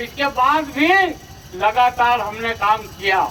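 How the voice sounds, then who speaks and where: Over noticeable background noise, a man uses a raised, projected voice with lively intonation. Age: 70s. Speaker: politician. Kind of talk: campaign speech. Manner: animated.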